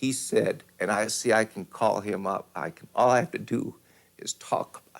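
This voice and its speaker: Delivered at a moderate pace, a man's speech shows big swings in loudness. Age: 50s. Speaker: former school teacher. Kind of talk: testimony. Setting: stage with audience. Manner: halting.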